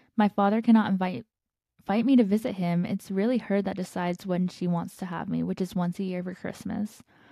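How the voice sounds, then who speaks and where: A woman talks at a fairly quick pace with a dark, mellow tone. Her voice is somewhat breathy, with fairly even intonation. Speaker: podcast host. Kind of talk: casual chat.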